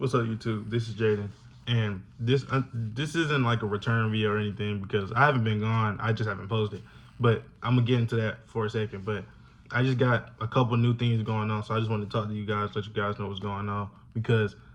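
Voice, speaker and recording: A man speaks at a very fast pace. His pitch is fairly low and his intonation fairly even. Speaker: YouTuber, college student. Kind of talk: casual vlog talk to camera.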